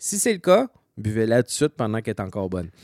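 A very fast pace, captured in a very clean recording with a silent background and a dry, close sound with no echo. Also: man. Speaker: homebrewing podcast co-host. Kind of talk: casual chat.

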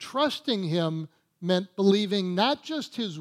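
With lively intonation, a natural voice reads aloud over a quiet background.

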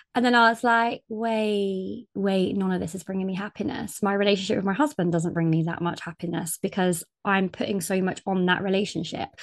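Speaking fairly quickly in a British accent, a woman has a medium pitch and ordinary pitch variation, recorded with a dry, close sound and no echo. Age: 30s. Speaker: podcast host. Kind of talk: casual chat.

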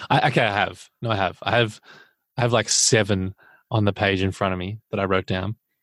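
On a very clean recording with a silent background, a man talks at a fairly quick pace. His pitch is fairly low, and he has an Australian accent. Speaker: podcast co-host. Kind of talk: casual chat.

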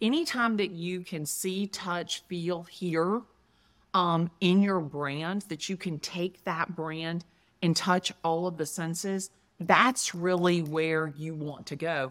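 Against a very clean recording with a silent background, a woman with an American accent and a fairly low pitch speaks at a very slow pace. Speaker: real estate agent. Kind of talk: interview. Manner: animated.

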